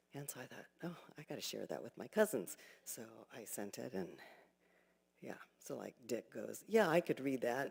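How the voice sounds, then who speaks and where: A woman's very deep, low voice with vocal fry, very wide pitch swings and a moderate pace. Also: big swings in loudness. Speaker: temple board officer. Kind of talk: speech at religious service. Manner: hesitant, many fillers.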